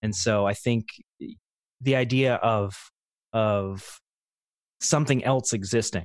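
A man with an American accent speaks with fairly even intonation, the sound dry and close with no echo. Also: quiet background. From US, northeastern Pennsylvania. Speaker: paranormal investigator. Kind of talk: casual interview.

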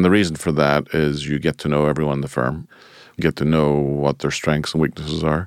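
With noticeable background noise but a dry, close sound with no echo, a man with an American accent speaks at a fairly quick pace and a very deep, low pitch, his loudness very even and his intonation monotone and flat. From Ireland. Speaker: financial firm managing partner. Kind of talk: interview.

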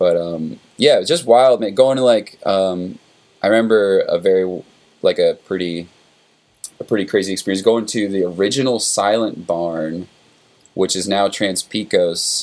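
A man with an American accent talks in a plain, everyday voice at a moderate pace, with a fairly low pitch and ordinary pitch variation. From upstate New York, Warwick. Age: 30s. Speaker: rock musician. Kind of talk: casual chat.

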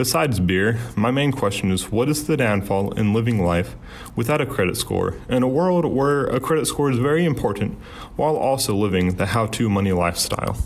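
Against noticeable background noise and audible room echo, a man speaks at a fairly quick pace in a medium pitch, with lively intonation and very even loudness. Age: 20s. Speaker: college student asking a question. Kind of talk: recorded listener question.

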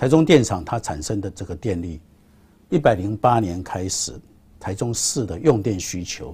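Somewhat breathy, a man speaks with a dark, mellow tone, fairly low pitch and lively intonation. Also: very clean recording, silent background. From Taiwan, Taichung. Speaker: state power utility chairman. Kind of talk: interview.

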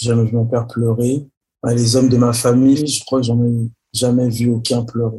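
This man's voice is medium in pitch, dark and mellow in tone, and somewhat breathy. He speaks at a moderate pace with monotone, flat intonation. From Paris region, France. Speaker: rapper and artist. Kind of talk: interview. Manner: halting.

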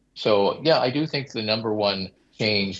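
A man with an American accent in a normal speaking voice, at a fairly low pitch and fairly slow pace, with ordinary pitch variation. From US Midwest, Detroit. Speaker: think tank fellow, former TV executive. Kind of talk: panel discussion. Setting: studio.

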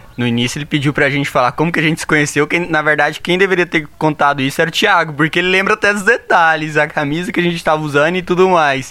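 A man's fairly high voice at a very fast pace, ordinary pitch variation, and noticeable background noise. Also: hardly any pauses. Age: 20s. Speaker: engineering student. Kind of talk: casual chat.

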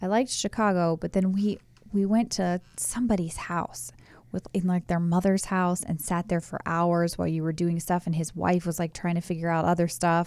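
An ordinary speaking voice from a woman, fairly low in pitch with fairly even intonation, on a very clean recording with a silent background. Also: moderate pace. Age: 30s. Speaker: host's wife. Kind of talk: casual chat.

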